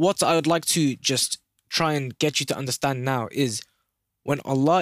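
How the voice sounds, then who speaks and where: A man's fairly high voice at a fairly quick pace with ordinary pitch variation, dry and close with no echo, in a very clean recording with a silent background. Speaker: podcast host. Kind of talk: religious talk, casual monologue. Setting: solo podcast recording. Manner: fast talker; earnest, conversational.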